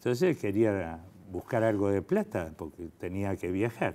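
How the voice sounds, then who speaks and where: A man with an Argentine accent speaks at a fairly slow pace with lively intonation. His fairly low pitch carries a dark, mellow tone. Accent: Argentine Spanish (Rioplatense). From Argentina. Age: 70s. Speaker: fertility doctor. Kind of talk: interview. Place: studio.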